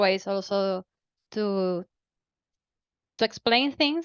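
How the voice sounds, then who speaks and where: With a Spanish accent, a woman speaks at a medium pitch and a very slow pace. The background is quiet, and the sound is dry and close with no echo. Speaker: unconference participant. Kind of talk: group discussion.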